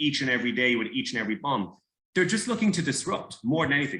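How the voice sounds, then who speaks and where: A man speaks with an Irish accent and lively intonation. His tone is bright and sharp. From Ireland. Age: 30s. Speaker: former soldier. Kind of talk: interview. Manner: halting.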